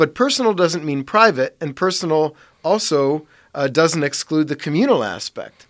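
A man with a fairly high pitch talks at a moderate pace in an unremarkable speaking voice. The recording is very clean and the background silent. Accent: American. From US Midwest (Parma, Ohio). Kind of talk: casual chat.

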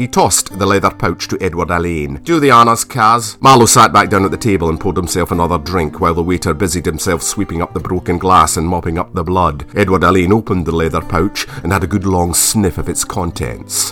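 Music plays behind a man whose very deep, low voice moves at a fairly quick pace in an animated, theatrical tone. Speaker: audio drama narrator and actor. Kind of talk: dramatic narration of a period audio drama, with wry asides and character voices. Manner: arch, mock-pompous voice for Marlowe.

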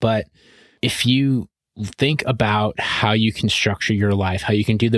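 A man's voice is captured on a very clean recording with a silent background. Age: 30s. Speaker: real estate investing podcast co-host. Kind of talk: solo monologue. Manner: casual, conversational with fillers.

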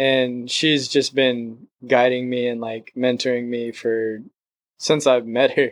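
A man with an American accent speaks at a very slow pace. His pitch is medium and his delivery monotone and flat. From San Diego, California. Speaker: actor. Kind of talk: casual chat.

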